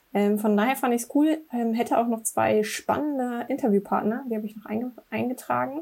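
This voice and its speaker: A woman with a fairly high pitch speaks at a moderate speed in a normal speaking voice. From Braunschweig, Germany. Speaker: digital product manager. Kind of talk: casual chat.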